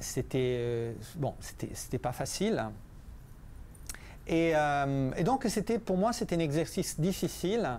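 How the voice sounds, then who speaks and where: A man with an Italian accent, very slow pace, long and frequent pauses, and very wide pitch swings. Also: fairly high pitch for a man. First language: Italian (speaking French). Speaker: physicist and author. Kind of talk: book presentation talk. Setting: library café talk with audience. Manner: halting, many repetitions and hesitations.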